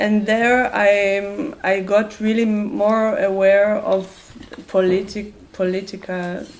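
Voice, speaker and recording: With audible room echo around her, a woman speaks very slowly at medium pitch, her loudness very even and her intonation fairly even. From Israel. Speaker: activist and musician. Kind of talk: open talk with audience. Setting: public talk event. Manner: halting, many fillers.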